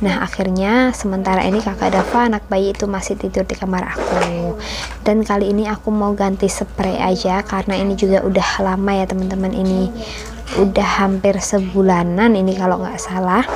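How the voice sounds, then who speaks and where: A soft-spoken woman talks at a fairly quick pace in a monotone, flat voice, with noticeable background noise. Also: medium pitch for a woman. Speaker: homemaker vlogger. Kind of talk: vlog voiceover narration. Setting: home, recorded while kids sleep.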